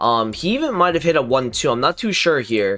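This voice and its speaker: A man speaks quietly. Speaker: gaming YouTuber. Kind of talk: casual commentary video. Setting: home recording late at night. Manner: quiet, low volume.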